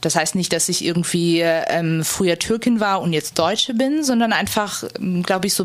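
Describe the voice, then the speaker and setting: Moderate-speed female speech against noticeable background noise. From Germany, Turkish family. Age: 20s. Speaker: interviewee. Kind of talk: interview testimony.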